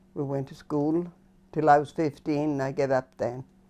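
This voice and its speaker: With a Scottish Highlands accent, a woman speaks in a very deep, low pitch and a dark, mellow tone. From Cape Breton, Nova Scotia (Inverness County). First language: Scottish Gaelic. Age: 90s. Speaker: elderly Gaelic speaker interviewee. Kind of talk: oral history interview.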